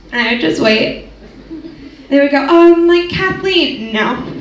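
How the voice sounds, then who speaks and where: A woman at a very slow pace, with very wide pitch swings, over noticeable background noise. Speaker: comedian. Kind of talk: live stand-up comedy performance. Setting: live stage with audience. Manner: casual, chatty, sarcastic.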